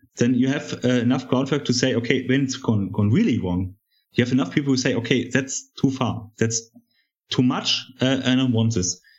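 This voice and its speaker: In a German accent, a man speaks at a medium pitch with ordinary pitch variation and very even loudness. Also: moderate pace. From East Germany. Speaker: journalist. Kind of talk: debate on coronavirus measures. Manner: hesitant, halting.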